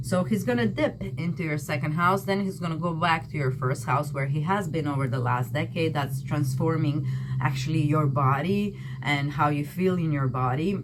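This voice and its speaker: Audible room echo and noticeable background noise around a voice with a non-native accent. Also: woman, very deep, low pitch for a woman, ordinary pitch variation, moderate pace. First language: not English. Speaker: tarot and astrology reader. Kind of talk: tarot reading. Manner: casual, conversational with fillers.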